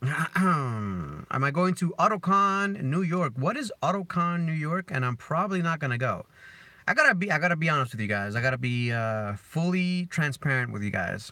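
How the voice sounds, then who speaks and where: A man's bright, sharp voice with a slight Spanish accent, fairly high in pitch with very wide pitch swings, on a very clean recording with a silent background. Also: moderate pace. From Dominican Republic. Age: 30s. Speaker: car vlogger. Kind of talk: live stream chat.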